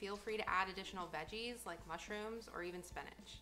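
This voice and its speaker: Moderate pace and fairly even intonation from a woman, with faint music in the background. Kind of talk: cooking tutorial. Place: kitchen. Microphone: phone near.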